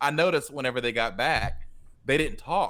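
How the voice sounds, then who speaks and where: Loud and moderate in pace, a man speaks with a bright, sharp tone. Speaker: music teacher and podcast co-host. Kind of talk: casual chat.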